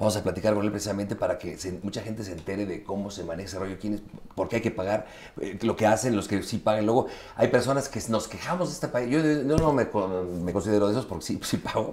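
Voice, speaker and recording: A man with a Mexican accent talks at a very fast pace. His pitch is fairly low, with ordinary variation. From Mexico. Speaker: interviewer. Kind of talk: casual interview. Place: home room. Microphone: lapel.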